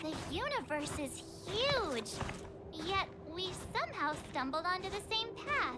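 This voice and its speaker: A woman uses a put-on character voice pitched extremely high, speaking at a fairly slow pace. Long, frequent pauses break her speech over loud background music. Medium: machinima. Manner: bubbly and energetic.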